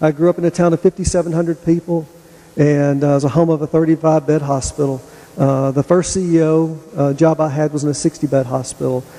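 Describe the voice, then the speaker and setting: In a Tennessee accent, a man talks at a fairly quick pace with a fairly high pitch and monotone, flat intonation, the sound dry and close with no echo. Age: 50s. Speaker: hospital executive. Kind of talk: public presentation.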